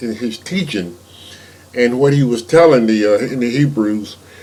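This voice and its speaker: There is audible room echo and noticeable background noise as a man speaks at a medium pitch. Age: 70s. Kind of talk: informal sermon. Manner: halting, many repeated words.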